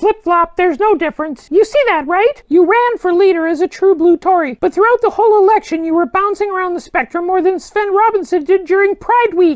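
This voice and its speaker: A put-on character voice at an extremely high pitch rattles along at a fairly quick pace with hardly any pauses. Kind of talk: satirical political interview. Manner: sarcastic, combative.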